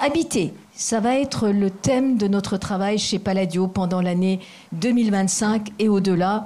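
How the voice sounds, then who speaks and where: Her intonation fairly even, the woman talks with a non-native accent. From Asia. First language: not French (speaking French). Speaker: foundation president. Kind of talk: formal speech. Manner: halting.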